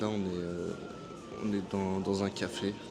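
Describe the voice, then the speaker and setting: Noticeable background noise surrounds a man whose voice sits fairly low in pitch. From France. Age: 20s. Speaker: vlogger, barber on working holiday. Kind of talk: casual vlog talk to camera. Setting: airport café. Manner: hesitant, many fillers.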